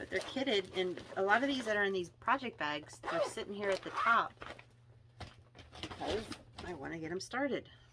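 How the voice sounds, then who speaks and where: A woman with a medium pitch and lively intonation speaks at a moderate pace with long, frequent pauses over noticeable background noise. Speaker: cross stitch video creator. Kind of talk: casual show-and-tell vlog. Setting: home craft room, seated on floor. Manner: halting, many fillers.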